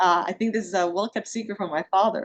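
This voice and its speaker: In a Spanish accent, a woman speaks at a fairly quick pace. Her pitch is medium, with ordinary variation. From Dominican Republic. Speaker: panel speaker. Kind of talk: panel discussion.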